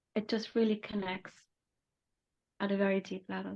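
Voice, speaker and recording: A woman's flat, monotone voice at medium pitch and moderate pace. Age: 60s. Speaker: holistic therapist and shamanic practitioner. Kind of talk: interview.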